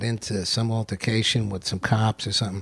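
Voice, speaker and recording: A man with a New York accent speaks at a fairly quick pace and medium pitch, sounding somewhat breathy. The recording is very clean, with a silent background. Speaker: actor. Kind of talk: casual chat.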